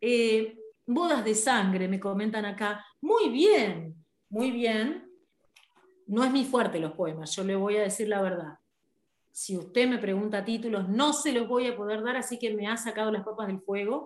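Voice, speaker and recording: Here a woman talks in an animated tone with ordinary pitch variation. Her pace is fairly slow. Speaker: radio host. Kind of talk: casual chat.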